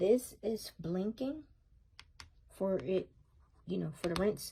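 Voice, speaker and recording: A woman's voice amid noticeable background noise. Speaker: product reviewer. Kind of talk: product demo tutorial. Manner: casual, many fillers.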